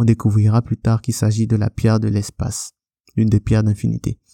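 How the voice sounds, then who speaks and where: A man's medium-pitched voice with a dark, mellow tone at a fairly quick pace, dry and close with no echo, on a very clean recording with a silent background. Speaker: podcast host, film reviewer. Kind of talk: film review monologue. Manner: animated, enthusiastic.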